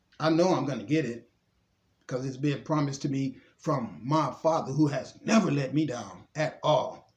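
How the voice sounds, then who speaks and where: Somewhat breathy, a man with a fairly high voice speaks with ordinary pitch variation. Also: moderate pace. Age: 60s. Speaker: spiritual vlogger. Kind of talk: monologue mixing reading aloud and commentary.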